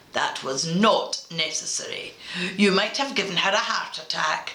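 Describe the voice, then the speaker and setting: A woman does a put-on character voice at a medium pitch. She talks at a moderate pace. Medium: read story. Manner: fussy, gentle.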